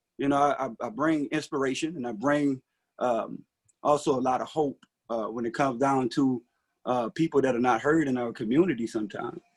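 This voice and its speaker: A man with a fairly high voice, talking at a fairly quick pace, in a dry, close recording with no echo. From US South, rural Mississippi. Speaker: city council candidate. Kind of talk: candidate forum speech. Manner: hesitant, many fillers.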